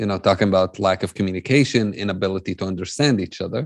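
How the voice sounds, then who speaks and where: A man's fairly low voice with an Arabic accent, over a quiet background. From Jerusalem, Palestinian. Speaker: peace-building speaker. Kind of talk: conference talk.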